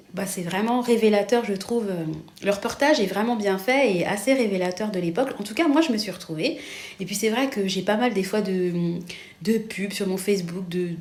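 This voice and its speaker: Noticeable background noise and audible room echo surround this woman's voice. She speaks at a medium pitch and a moderate pace, with ordinary pitch variation. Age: 40s. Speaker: vlogger. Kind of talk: casual chat. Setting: kitchen. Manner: rising pitch, many fillers.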